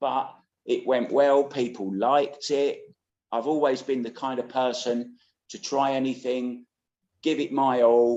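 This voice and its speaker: A man with a British accent talks at a fairly slow pace in a dark, mellow tone with monotone, flat intonation. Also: medium pitch for a man. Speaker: pool commentator. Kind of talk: casual interview chat.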